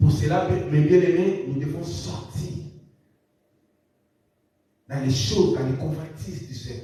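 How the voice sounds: Amid strong room echo, a man speaks at a fairly slow pace with a dark, mellow tone.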